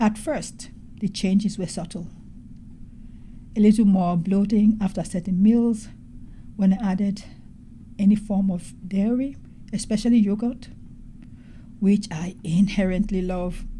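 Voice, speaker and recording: A woman speaks at a fairly slow pace with long, frequent pauses and fairly even intonation. Her tone is dark and mellow, and somewhat breathy. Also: medium pitch for a woman. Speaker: doctor, podcast host. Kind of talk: gentle reflective podcast talk. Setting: hospital room, background noise. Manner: soft-spoken, slow.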